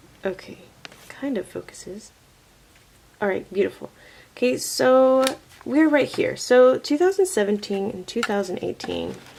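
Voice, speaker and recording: Quiet and fairly high-pitched, a woman speaks at a moderate pace with very wide pitch swings and long, frequent pauses over noticeable background noise. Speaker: teacher and vlogger. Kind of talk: casual vlog. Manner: quiet, lowered voice.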